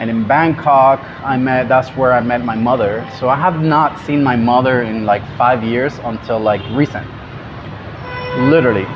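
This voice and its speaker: A man with a Spanish accent at a moderate pace, fairly even intonation, music in the background. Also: medium pitch for a man. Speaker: travel vlogger. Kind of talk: casual vlog recap.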